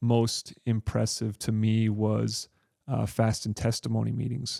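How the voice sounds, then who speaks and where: A man with an American accent talks at a fairly slow pace. The sound is dry and close, with no echo. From US West, Provo, Utah. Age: 40s. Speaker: physical therapist, podcast guest. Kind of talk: interview, personal story. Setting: in-person studio interview.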